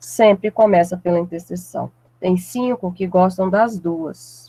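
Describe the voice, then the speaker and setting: The sound is dry and close, with no echo. A woman with a dark, mellow tone speaks fairly slowly at a medium pitch. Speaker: math teacher. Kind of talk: lecture. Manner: deliberately slowed down.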